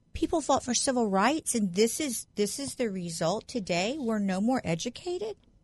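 A woman with a fairly high, somewhat breathy voice speaks at a moderate pace with hardly any pauses and very wide pitch swings. The background is quiet. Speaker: guest co-host sitting in. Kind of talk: casual political chat. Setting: studio.

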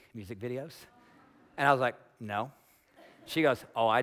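Speaking with an American accent at a fairly quick pace, a man with a medium pitch has a bright, sharp tone. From US, small farm town. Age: 40s. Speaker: pastor. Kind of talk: sermon. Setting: church with congregation. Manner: casual, conversational.

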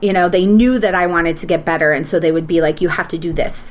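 A woman speaks in a normal speaking voice with an American accent. Her intonation is fairly even. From Minnesota. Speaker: actress and TV producer. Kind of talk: casual chat.

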